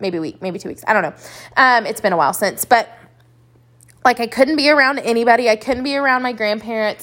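Speaking very fast with a Texan accent, the woman has a fairly high pitch. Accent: Texan American. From West Texas (Lubbock). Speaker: boutique owner and podcast host. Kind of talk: solo monologue podcast.

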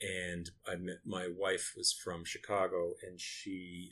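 A very deep, low-pitched man's voice in an American accent, bright and sharp in tone, with monotone, flat intonation. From US Northeast, Lewiston, Maine. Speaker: architect and designer. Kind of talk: interview. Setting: in person in his office.

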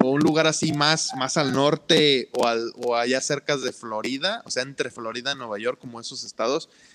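Amid noticeable background noise, a man speaks at a fairly slow pace with ordinary pitch variation. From Mexico, Ciudad del Carmen, Campeche. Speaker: podcast co-host. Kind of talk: casual chat.

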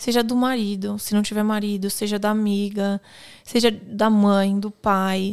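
Fairly slow speech in a Brazilian accent, with monotone, flat intonation. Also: woman, medium pitch for a woman. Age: 30s. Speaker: police officer. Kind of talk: casual chat.

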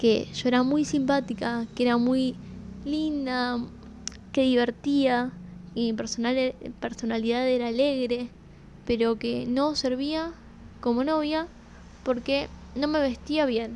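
A woman's high-pitched voice, very slow with long, frequent pauses, very even in loudness and fairly even in intonation. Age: 20s. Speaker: podcast host. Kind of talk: casual monologue.

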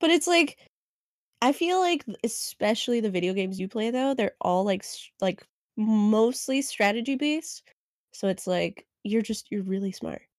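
Speaking with an American accent, a woman uses a fairly high pitch with very wide pitch swings at a moderate pace, in a very clean recording with a silent background and a dry, close sound with no echo. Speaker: podcast co-host. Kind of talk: casual chat.

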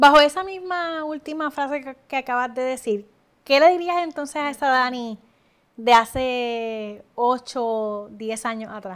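Recorded very cleanly against a silent background, a woman with a high voice talks at a fairly slow pace with ordinary pitch variation. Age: 20s. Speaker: podcast host. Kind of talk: interview.

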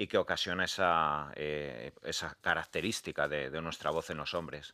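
The recording is very clean with a silent background as a man talks at a moderate pace with a bright, sharp tone. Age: 40s. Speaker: doctor and author. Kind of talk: radio interview.

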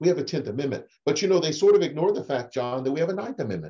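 This man has a dark, mellow tone and a fairly high pitch, with vocal fry. His pitch swings very widely, and he speaks with an American accent. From Oklahoma. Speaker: political science professor and attorney. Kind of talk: interview, explanatory discussion.

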